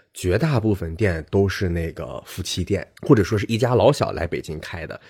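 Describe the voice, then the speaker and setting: On a very clean recording with a silent background, a man speaks at a moderate pace in a somewhat breathy voice. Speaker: podcast co-host. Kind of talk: casual chat.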